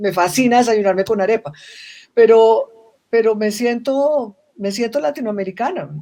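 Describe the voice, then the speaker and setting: With a dark, mellow tone and fairly high pitch, a woman talks at a moderate pace using lively intonation. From Colombia. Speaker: social business expert. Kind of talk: panel conversation.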